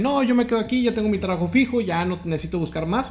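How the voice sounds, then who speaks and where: The speaker talks at a very fast pace with a northern Mexican accent. The intonation is lively. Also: man. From Mexico, Matamoros, Tamaulipas. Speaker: podcast host. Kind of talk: casual interview chat.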